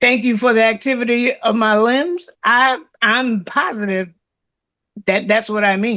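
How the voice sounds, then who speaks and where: Speaking at a fairly slow pace, a woman with a fairly high voice keeps her loudness very even and her pitch variation ordinary. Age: 60s. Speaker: reverend, service presenter. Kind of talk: testimony. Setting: church service. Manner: halting.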